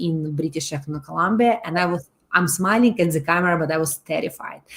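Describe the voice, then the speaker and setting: This woman talks at a moderate pace with a Russian accent, a fairly low pitch and ordinary pitch variation. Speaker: loan company presenter. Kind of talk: webinar presentation. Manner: halting, many fillers.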